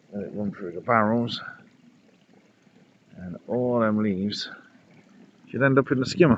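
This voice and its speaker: Here a man speaks with an English accent. His voice is fairly low and his pace fairly slow. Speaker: pond keeper vlogger. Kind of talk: casual vlog narration.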